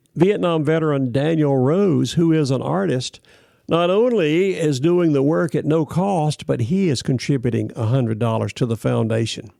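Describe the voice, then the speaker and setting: In a Southern US accent, the speaker has a dark, mellow tone, lively intonation, very even loudness and a moderate pace in a very clean recording with a silent background. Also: man, fairly high pitch for a man. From US South, Florida (Ocala). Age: 70s. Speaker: podcast host, Vietnam veteran. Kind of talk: news reading and commentary.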